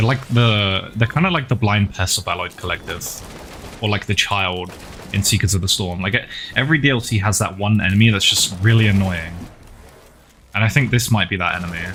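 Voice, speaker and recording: Fairly low male voice at a fairly quick pace with ordinary pitch variation, amid noticeable background noise. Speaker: game streamer. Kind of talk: casual live-stream chat while gaming. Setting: live stream with chat. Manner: soft-spoken, talking quietly for ASMR.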